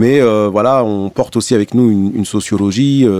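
A dark, mellow tone with ordinary pitch variation comes through in a dry, close sound with no echo. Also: man. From Algeria (Blida). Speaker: rapper. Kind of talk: interview conversation. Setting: radio studio. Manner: halting.

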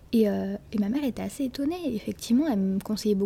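A woman speaks at a very fast pace in a fairly high pitch. Her pitch varies in an ordinary way. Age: 20s. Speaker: law student. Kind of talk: casual chat. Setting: public place, recorded at a table.

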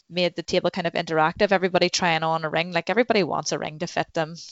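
A woman speaks with a Northern Irish accent. Her pitch is fairly low and her intonation monotone and flat. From Northern Ireland, Newcastle, County Down. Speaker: goldsmith and shop owner. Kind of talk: casual interview chat.

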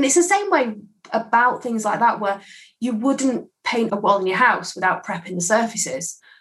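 Speaking in an English accent, a woman uses a fairly high pitch and lively intonation at a moderate pace. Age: 30s. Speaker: skincare consultant. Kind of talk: casual interview.

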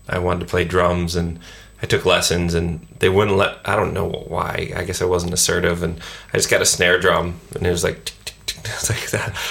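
In an American accent, a man speaks at a moderate pace with a very deep, low pitch and monotone, flat intonation. Noticeable background noise is present. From US. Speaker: rock guitarist. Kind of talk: casual interview.

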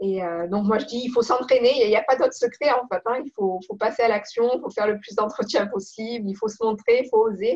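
Talking at a fairly quick pace with hardly any pauses, a woman uses an unremarkable speaking voice, fairly high in pitch, with ordinary pitch variation and big swings in loudness. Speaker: professional coach. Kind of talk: interview.

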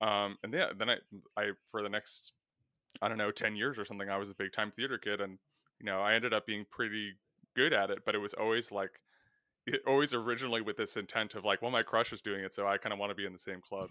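A man's fairly low voice with an American accent, at a very fast pace. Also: fairly even intonation. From New Jersey. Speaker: writer and author. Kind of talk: casual chat. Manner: halting.

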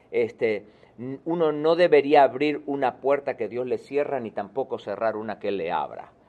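This man has a plain, everyday voice at a fairly high pitch, speaking at a moderate pace with ordinary pitch variation. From Argentina. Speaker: author and success speaker. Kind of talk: interview.

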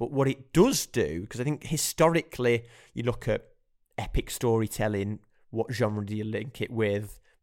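An ordinary speaking voice from a man of medium pitch, with ordinary pitch variation and a moderate pace, on a very clean recording with a silent background. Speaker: podcast host, film reviewer. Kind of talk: casual chat.

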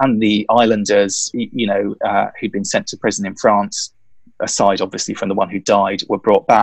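Speaking in a southern English accent, a man keeps a moderate pace. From London. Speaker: author and historian. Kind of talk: interview. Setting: bedroom at home, remote call.

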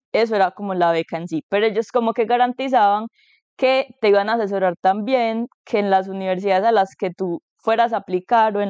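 Her intonation fairly even, the woman speaks at a moderate pace and a medium pitch. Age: 20s. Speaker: master's student, biomedical engineer. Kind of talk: casual chat.

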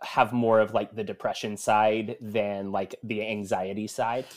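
A fairly slow American accent on a very clean recording with a silent background. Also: man. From US South, Murfreesboro, Tennessee. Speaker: activist. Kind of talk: casual chat. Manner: hesitant with fillers.

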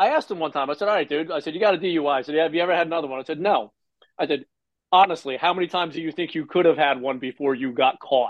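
Someone talks very fast in a New Jersey accent, with ordinary pitch variation. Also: man, fairly high pitch for a man. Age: 50s. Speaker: recovering alcoholic. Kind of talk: interview. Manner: animated.

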